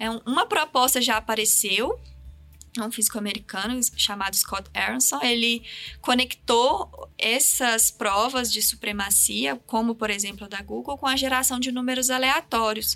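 With an unremarkable speaking voice, a woman talks at a moderate pace, fairly high in pitch, with ordinary pitch variation. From Minas Gerais, Brazil. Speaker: physics professor. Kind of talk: science podcast interview.

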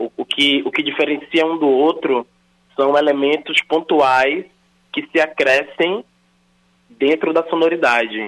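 A man with fairly high pitch, fairly even intonation, a fairly slow pace and long, frequent pauses. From Salvador, Bahia, Brazil. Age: 30s. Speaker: rapper and actor. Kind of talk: interview.

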